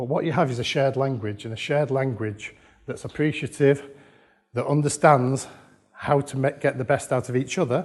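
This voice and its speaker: At a fairly quick pace, a man with an English accent speaks in a fairly high, somewhat breathy voice. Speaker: conference speaker on children's social care. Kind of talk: conference talk. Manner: fast; animated.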